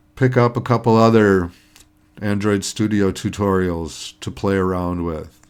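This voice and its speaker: This man talks at a fairly slow pace in a fairly low pitch, with ordinary pitch variation. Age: 60s. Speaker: retired hobbyist app-learning vlogger. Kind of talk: screen-recorded tutorial vlog. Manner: casual, hesitant with fillers.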